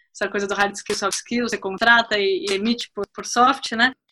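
She speaks fairly quickly. The voice belongs to a woman. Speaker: teacher and career coach. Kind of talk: interview.

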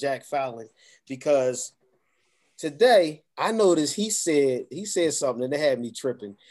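A man's normal speaking voice, fairly high in pitch, with lively intonation and a moderate pace. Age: 40s. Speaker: network marketing distributor. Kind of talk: casual chat.

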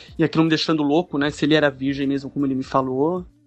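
A man's fairly high voice with fairly even intonation over music in the background. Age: 20s. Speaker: storyteller sharing a personal experience. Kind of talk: personal narration. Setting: recorded voice message.

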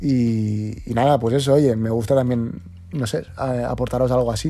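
Dark, mellow male tone with ordinary pitch variation. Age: 20s. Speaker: podcast host. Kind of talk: casual chat. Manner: animated.

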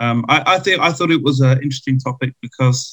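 A man's somewhat breathy voice at a medium pitch. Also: dry, close sound with no echo. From London, England. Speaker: DJ and podcast guest. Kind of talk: casual chat.

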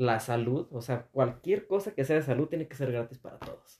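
This man's voice sits at a fairly high pitch, somewhat breathy with a dark, mellow tone. He talks at a fairly quick pace with ordinary pitch variation. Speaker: podcast host. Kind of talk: casual chat.

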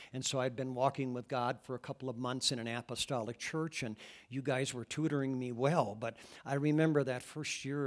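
On a very clean recording with a silent background, a man with an American accent speaks at a medium pitch and a fairly quick pace. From US Midwest, Iowa. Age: 60s. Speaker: pastor. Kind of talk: sermon. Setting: church. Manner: animated.

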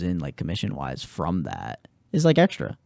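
The delivery is very fast, with vocal fry and very wide pitch swings. The sound is dry and close, with no echo. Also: man, very clean recording, silent background. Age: 20s. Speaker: podcast guest, real estate agent and auto detailer. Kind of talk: casual chat.

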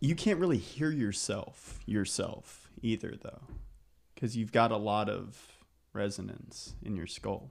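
Lively intonation runs through a man's fairly low voice, which carries vocal fry. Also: fairly slow pace. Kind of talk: casual conversation.

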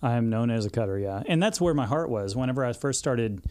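A man in a Texan accent speaks at medium pitch with a dark, mellow tone. The recording is very clean with a silent background. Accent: Texan Southern US. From Texas, Houston suburbs. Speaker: hairdresser, social media influencer. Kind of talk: casual interview chat.

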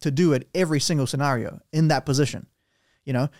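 A man's fairly high, fairly quick voice with a New Zealand accent, on a very clean recording with a silent background. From Romania. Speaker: podcast host. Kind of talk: casual chat. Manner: excitable.

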